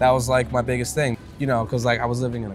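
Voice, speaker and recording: Music in the background accompanies speech delivered at a very fast pace. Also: man. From New York (Bronx) and Newark, New Jersey. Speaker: musician. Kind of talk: casual chat. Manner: casual, hesitant with fillers.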